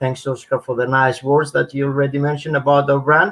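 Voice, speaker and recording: This man has a Greek accent. His pitch is fairly high. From northern Greece. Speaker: menswear brand founder. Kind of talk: interview. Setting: live stream.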